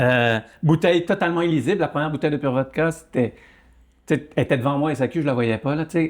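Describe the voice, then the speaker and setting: Captured in a very clean recording with a silent background, a man talks at a very fast pace with a fairly high pitch, ordinary pitch variation and very even loudness. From Quebec (Saguenay) and France (Burgundy). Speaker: entrepreneur. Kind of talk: podcast interview. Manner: hesitant, many fillers and repetitions.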